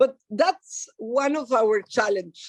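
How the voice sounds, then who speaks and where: In a dry, close sound with no echo, a woman with a Mexican accent and a fairly high pitch speaks at a very slow pace. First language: Spanish. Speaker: human rights activist. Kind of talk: lecture. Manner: halting.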